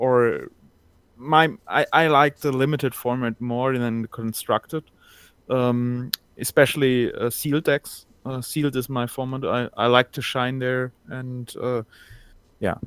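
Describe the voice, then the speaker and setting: The sound is dry and close, with no echo. A man talks fairly slowly at medium pitch, his intonation monotone and flat. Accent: German. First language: German. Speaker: caller. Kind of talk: casual chat. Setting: video call. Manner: halting.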